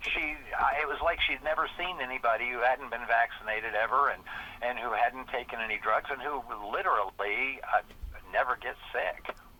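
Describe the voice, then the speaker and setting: Noticeable background noise runs under a man's voice. He talks at a moderate pace with ordinary pitch variation. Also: medium pitch for a man. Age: 60s. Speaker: politician. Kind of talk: podcast interview.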